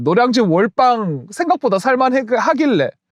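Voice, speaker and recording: A man speaks in an animated tone with a strong Gyeongsang accent and very wide pitch swings, the sound dry and close with no echo. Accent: thick Gyeongsang (Daegu) dialect. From South Korea, Daegu. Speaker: stock market YouTuber. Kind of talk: investment advice monologue.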